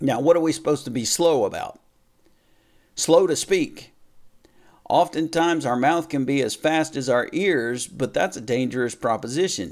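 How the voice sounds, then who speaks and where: In a very clean recording with a silent background, a man with a fairly high pitch and ordinary pitch variation talks at a moderate pace with long, frequent pauses. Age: 40s. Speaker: pastor. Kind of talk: sermon. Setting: hotel room. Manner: halting.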